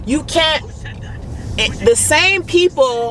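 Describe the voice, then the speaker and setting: A woman with lively intonation and an animated tone, fairly slow, amid noticeable background noise. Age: 30s. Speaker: fitness vlogger and mother. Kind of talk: motivational vlog talk. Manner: gets louder when passionate.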